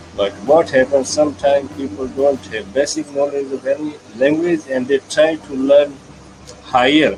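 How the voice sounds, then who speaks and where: Noticeable background noise accompanies a man with a fairly high pitch. He speaks at a moderate pace with ordinary pitch variation. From India. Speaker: English learner. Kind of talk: casual chat. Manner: halting.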